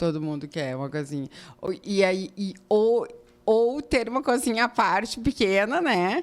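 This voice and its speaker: A woman at medium pitch with very wide pitch swings, at a fairly slow pace, in a very clean recording with a silent background. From southern Brazil, Rio Grande do Sul highlands. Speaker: architect. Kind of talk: interview. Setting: studio.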